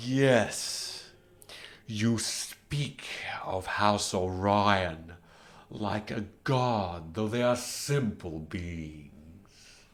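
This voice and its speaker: Very slow, fairly low put-on character voice from a man. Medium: actual play. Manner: solemn.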